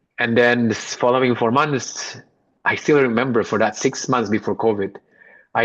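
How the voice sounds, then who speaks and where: Speaking at a moderate pace and medium pitch with fairly even intonation, a man has an unremarkable speaking voice. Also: quiet background. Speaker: podcast guest. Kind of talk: casual interview conversation.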